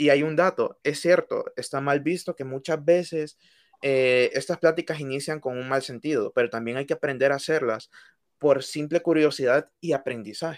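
A man's normal speaking voice, fairly high in pitch with fairly even intonation, at a moderate pace in a very clean recording with a silent background. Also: dry, close sound with no echo. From Honduras, Tegucigalpa. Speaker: student podcast co-host. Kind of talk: casual discussion.

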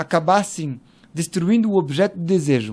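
Over a silent background on a very clean recording, a man speaks at a moderate pace. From France (Paris). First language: French (speaking Portuguese). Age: 40s. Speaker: cultural manager. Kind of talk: interview conversation.

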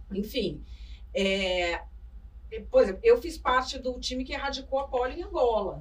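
An animated woman speaks at a moderate pace with long, frequent pauses. Her loudness swings widely. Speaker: journalist and author. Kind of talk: interview conversation. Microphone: poor audio capture.

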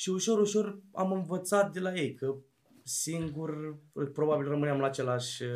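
Speaking in an ordinary speaking voice, a man has a fairly high pitch. He keeps a moderate pace with ordinary pitch variation. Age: 20s. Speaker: rapper. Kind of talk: casual interview. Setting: basement studio.

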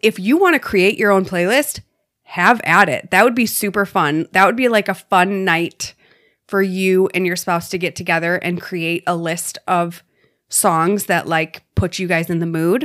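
Woman with an unremarkable speaking voice, medium pitch, ordinary pitch variation and a moderate pace. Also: very clean recording, silent background. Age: 30s. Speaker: podcast co-host. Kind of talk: casual chat.

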